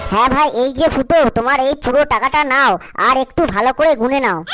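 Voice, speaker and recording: A high-pitched, cartoonish character voice comes at a moderate pace against clear background noise. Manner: polite, calm.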